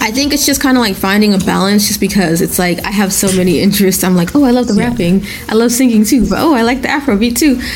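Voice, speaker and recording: Over noticeable background noise, a woman with a fairly high pitch speaks at a very fast pace with hardly any pauses, ordinary pitch variation and very even loudness. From Nigeria. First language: Yoruba. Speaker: rapper. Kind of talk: interview.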